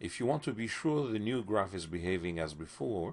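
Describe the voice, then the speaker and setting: With a plain, everyday voice, a man speaks at a fairly low pitch and a moderate pace, his intonation lively. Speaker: software tutorial instructor. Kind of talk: tutorial. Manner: clear, instructional.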